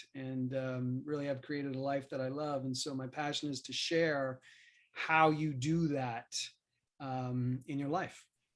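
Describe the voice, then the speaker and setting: In an American accent, a man speaks at a fairly high pitch with monotone, flat intonation. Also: very clean recording, silent background. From US Northeast, Queens, New York City. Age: 50s. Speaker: business coach and speaker. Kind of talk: podcast interview.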